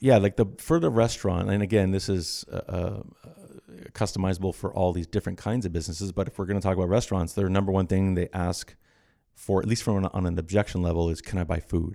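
With a Canadian accent, a man speaks at a very fast pace in a very deep, low pitch, his tone dark and mellow and his intonation fairly even. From Scarborough, Toronto, Canada. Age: 40s. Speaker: barter exchange business owner. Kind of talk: casual interview.

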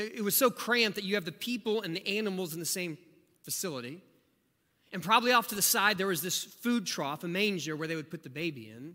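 Raising and projecting his voice, a man with an American accent speaks very fast at a high pitch in a bright, sharp tone. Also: lively intonation. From rural southeast Ohio. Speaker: pastor. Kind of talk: sermon.

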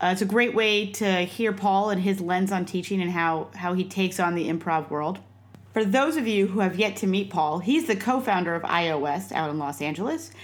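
Her intonation is lively as this woman speaks at a moderate pace. Her pitch sits in the medium range. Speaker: podcast host and improv theater founder. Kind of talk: scripted introduction. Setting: video call. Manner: excited.

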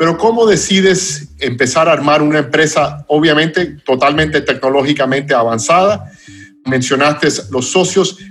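With an English accent, the speaker goes at a moderate pace with ordinary pitch variation over noticeable background noise. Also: man. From United States. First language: English (speaking Spanish). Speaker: podcast host. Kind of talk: interview.

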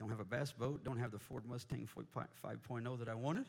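An American-accented man at medium pitch talks at a moderate pace, his somewhat breathy voice carrying an animated tone. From US Midwest, Indianapolis. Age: 40s. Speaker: missionary preacher. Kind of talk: sermon. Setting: church.

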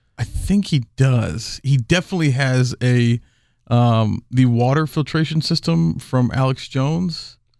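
An unremarkable speaking voice from a man with an American accent, fairly slow and lively in intonation, at very even loudness, in a very clean recording with a silent background and a dry, close sound with no echo. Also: medium pitch for a man. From Houston, Texas. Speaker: cigar salesman. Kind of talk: casual chat. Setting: studio.

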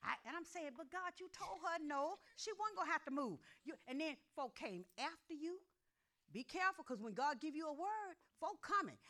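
Raised and projected, a woman's extremely high-pitched voice has a bright, sharp tone and lively intonation at a moderate pace. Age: old. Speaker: pastor. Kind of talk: sermon. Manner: animated.

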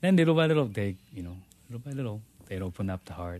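With a Japanese accent and lively intonation, a man speaks against a quiet background. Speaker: pastor. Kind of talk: casual interview testimony. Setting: studio. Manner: halting.

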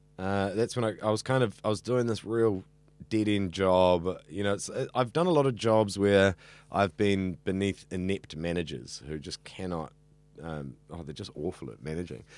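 In a New Zealand accent, the speaker uses lively intonation and big swings in loudness at a moderate pace, on a very clean recording with a silent background. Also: man, fairly low pitch for a man. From New Zealand, central Auckland. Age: 30s. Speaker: radio student. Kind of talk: interview. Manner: talkative.

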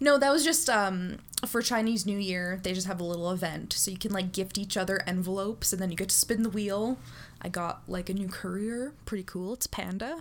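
Here a woman has an ordinary speaking voice at medium pitch. She moves at a fairly quick pace with ordinary pitch variation. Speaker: streamer. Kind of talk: casual chat.

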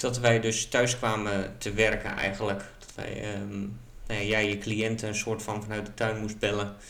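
At a moderate pace, a man speaks with monotone, flat intonation. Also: fairly low pitch for a man, big swings in loudness. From central Netherlands. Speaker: podcast co-host. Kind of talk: casual chat. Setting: at a table with co-host. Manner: hesitant, many fillers.

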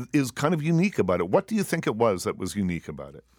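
A dry, close male voice with no echo, on a very clean recording against a silent background. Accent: Maritime Canadian. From Nova Scotia, Canada. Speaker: radio talk show host. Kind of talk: casual interview. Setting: studio. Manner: relaxed, many ums and ahs.

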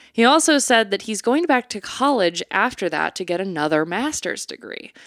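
Very wide pitch swings mark this voice, captured in a very clean recording with a silent background and a dry, close sound free of echo. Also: woman. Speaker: podcast co-host. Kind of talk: casual chat.

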